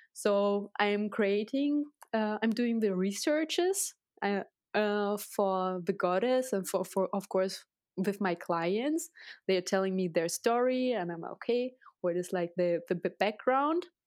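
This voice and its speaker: A woman with a Russian accent speaks at a fairly slow pace. Her medium pitch carries lively intonation. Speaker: tattoo artist. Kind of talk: interview. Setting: video call. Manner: animated.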